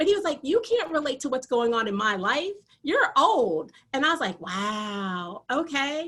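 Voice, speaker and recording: A loud, high-pitched woman's voice with an American accent, very wide pitch swings and a fairly slow pace. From Michigan, US (military family). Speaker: athletic training professor. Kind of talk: lecture.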